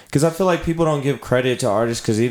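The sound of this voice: This man's voice sits at a medium pitch. It shows ordinary pitch variation.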